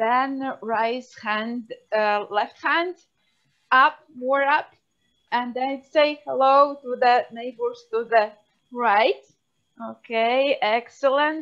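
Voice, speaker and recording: Very slowly, a woman speaks in a Latvian accent. Her voice is high-pitched, with ordinary pitch variation. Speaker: phenologist, university researcher. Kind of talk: guided office yoga break in webinar.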